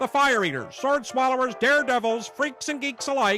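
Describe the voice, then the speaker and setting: Music plays as a man raises and projects his voice at an extremely high pitch, keeping a moderate pace and ordinary pitch variation. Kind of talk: sideshow show opener narration. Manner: showman announcer style.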